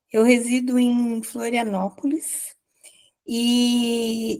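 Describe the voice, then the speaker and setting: A woman speaks in a high pitch with a dark, mellow tone and fairly even intonation. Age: 70s. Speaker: study group participant. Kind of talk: testimony.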